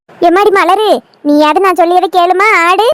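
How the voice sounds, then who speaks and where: A woman does a cartoonish character voice at an extremely high pitch. She keeps a moderate pace and fairly even intonation. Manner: exasperated, scolding.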